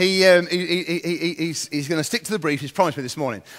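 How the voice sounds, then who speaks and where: This is a man speaking. His voice is high in pitch. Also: very clean recording, silent background. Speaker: event host. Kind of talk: stage introduction of a guest speaker. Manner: hesitant.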